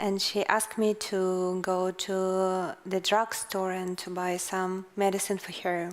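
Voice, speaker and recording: A woman speaks very slowly with a Russian accent. Her intonation stays monotone and flat. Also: medium pitch for a woman, hardly any pauses. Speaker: investigative journalist and author. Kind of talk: interview on stage. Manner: halting.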